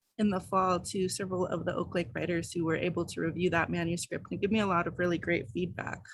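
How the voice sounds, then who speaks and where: A woman with an American accent talks with vocal fry. Her pace is fairly quick. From Denver, Colorado. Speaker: professor and writing society board member. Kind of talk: virtual meeting introductions. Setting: video call. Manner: many filler words (um).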